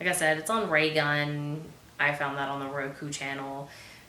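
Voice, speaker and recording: Over noticeable background noise and audible room echo, a woman speaks at a moderate pace in a very deep, low pitch. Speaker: movie review host. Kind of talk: movie review monologue. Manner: casual with many fillers.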